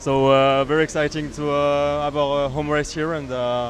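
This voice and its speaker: Noticeable background noise runs under a man's voice. He speaks at a moderate pace with a fairly high pitch. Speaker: kart racing team member. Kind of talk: interview. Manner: hesitant, many fillers.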